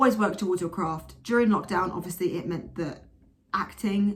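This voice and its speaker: Animated and marked by vocal fry, a woman speaks with an English accent. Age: 20s. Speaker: vlogger and actress. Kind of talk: casual vlog monologue. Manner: loud.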